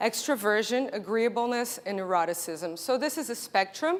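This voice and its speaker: Her Brazilian accent comes through as the woman talks at a moderate pace. Her high voice swings very widely in pitch. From Brazil (Rio de Janeiro). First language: Portuguese. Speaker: marketing executive. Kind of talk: conference keynote.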